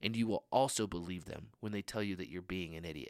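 Recorded very cleanly against a silent background, with a dry, close sound and no echo, a man talks at a fairly quick pace with lively intonation. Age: 30s. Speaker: young adults pastor. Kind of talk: sermon.

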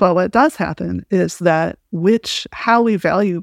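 A woman speaks in a Midwestern accent at a fairly low pitch. The recording is very clean with a silent background, and the sound is dry and close with no echo. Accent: American Midwestern. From US Midwest, small-town Illinois. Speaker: professor. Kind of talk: interview conversation.

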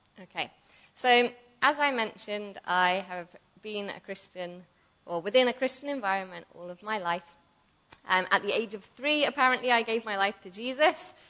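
Speaking in an English accent, a woman with a fairly high pitch and a bright, sharp tone moves at a moderate pace with lively intonation and long, frequent pauses. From southern England. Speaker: ministry school student. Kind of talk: sermon. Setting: church.

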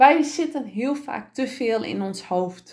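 Speaking at a very slow pace, a woman with a high pitch makes very wide pitch swings. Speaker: podcast host and business coach. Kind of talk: motivational solo podcast. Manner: calm, grounded after breathing exercise; lively, varied pitch.

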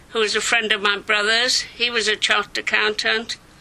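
Noticeable background noise sits under this recording. A woman speaks with a fairly high pitch. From northern England, Leeds, Yorkshire. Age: 70s. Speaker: milliner. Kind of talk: personal life story. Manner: animated.

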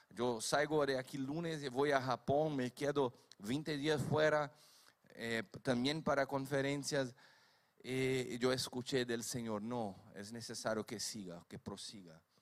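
A man with a Brazilian accent at a fairly slow pace. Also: medium pitch for a man, ordinary pitch variation. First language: Portuguese (speaking Spanish). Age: 50s. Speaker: preacher. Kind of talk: sermon.

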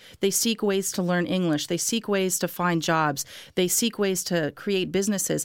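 In a very clean recording with a silent background, a woman with an American accent speaks at a moderate pace in an ordinary speaking voice, her pitch medium, her intonation fairly even and her loudness very even. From Miami, Florida. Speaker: anthropology professor and immigration advocate. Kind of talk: interview.

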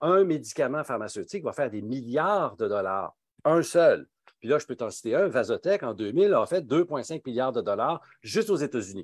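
A man with a Quebec accent speaks in a fairly high pitch with very wide pitch swings. The sound is dry and close with no echo, in a very clean recording with a silent background. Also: moderate pace. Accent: Québécois French. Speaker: pharmacist and speaker. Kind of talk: interview.

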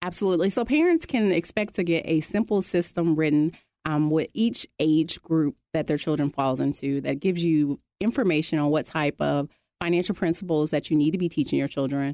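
Recorded very cleanly against a silent background, with a dry, close sound and no echo, a woman speaks at a fairly quick pace in a very deep, low pitch with a dark, mellow tone, ordinary pitch variation and very even loudness. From Arkansas. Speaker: author and financial professional. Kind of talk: radio interview.

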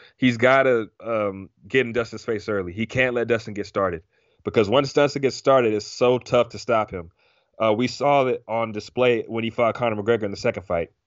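A man at a medium pitch, with a plain, everyday voice, a fairly quick pace and fairly even intonation. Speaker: MMA podcast co-host. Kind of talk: casual sports talk podcast.

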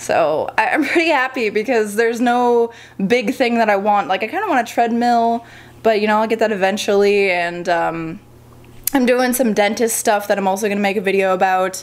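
At a moderate pace, a woman with a fairly high pitch and ordinary pitch variation talks in a plain, everyday voice. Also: very even loudness. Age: 20s. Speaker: model and gaming YouTuber. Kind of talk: casual vlog.

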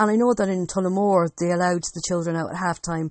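With an Irish Midlands accent, a woman speaks at a fairly quick pace and a medium pitch. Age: young. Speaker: sports podcast host. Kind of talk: casual sports chat.

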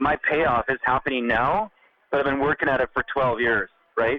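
This is a plain, everyday voice. A man talks at a moderate pace and a medium pitch. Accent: Canadian. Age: 40s. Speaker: chef. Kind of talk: interview.

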